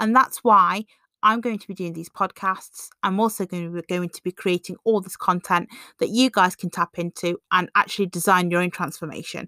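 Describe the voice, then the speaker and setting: The voice has a bright, sharp tone, fairly even intonation and a fairly quick pace, with big swings in loudness. The recording is very clean, with a silent background and a dry, close sound with no echo. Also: woman, medium pitch for a woman. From England. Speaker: podcaster, confidence coach. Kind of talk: personal testimony monologue.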